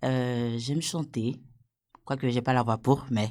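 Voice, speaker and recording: Recorded very cleanly against a silent background, a woman speaks in a dark, mellow tone. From Ivory Coast. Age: 30s. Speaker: program participant. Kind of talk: self-introduction. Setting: studio.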